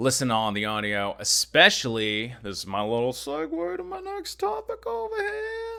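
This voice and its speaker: Booming and with big swings in loudness, a man speaks at a moderate pace with hardly any pauses. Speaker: gaming YouTuber. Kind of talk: casual vlog monologue. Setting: home recording space, moved from attic. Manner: loud, booming.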